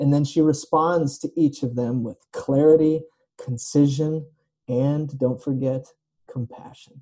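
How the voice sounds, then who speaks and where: A man talks at a fairly slow pace in a dark, mellow, somewhat breathy tone. His pitch is fairly high and his intonation fairly even. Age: 30s. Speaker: pastor. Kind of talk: sermon.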